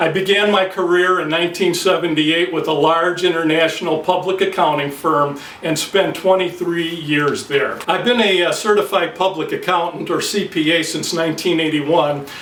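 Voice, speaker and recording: Amid noticeable background noise and audible room echo, a man with a high voice speaks at a moderate pace with fairly even intonation. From US Midwest, Detroit, Michigan. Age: 50s. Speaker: accountant. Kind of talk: mock campaign announcement speech. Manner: frequent filler hesitations.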